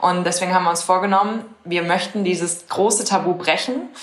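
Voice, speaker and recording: A woman talks at a moderate pace with a fairly low pitch and fairly even intonation. Noticeable background noise can be heard. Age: 20s. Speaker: startup founder. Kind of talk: interview.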